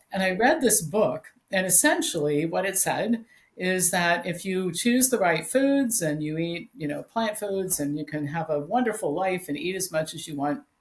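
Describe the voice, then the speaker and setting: Her voice is somewhat breathy and medium-pitched, as a woman talks with lively intonation. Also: moderate pace. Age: 60s. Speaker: health author and educator. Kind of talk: interview.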